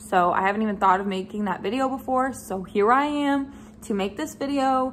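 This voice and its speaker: Light background noise sits under a woman talking at a fairly quick pace with ordinary pitch variation. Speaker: vlogger. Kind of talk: casual vlog chat. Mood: frank, slightly frustrated. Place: home room. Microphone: phone near.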